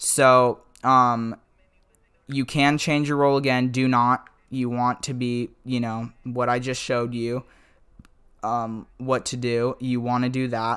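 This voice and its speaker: Very slowly, a man speaks at a medium pitch with monotone, flat intonation. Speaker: gaming YouTuber. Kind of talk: gameplay tutorial. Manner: halting, stuttering; casual, filler-heavy.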